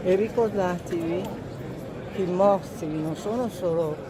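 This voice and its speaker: The pitch moves in an ordinary way, with noticeable background noise and an audible echo in the room. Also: woman. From northern Italy, Veneto (Cimbrian, Cansiglio). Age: 90s. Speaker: war veteran. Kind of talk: interview.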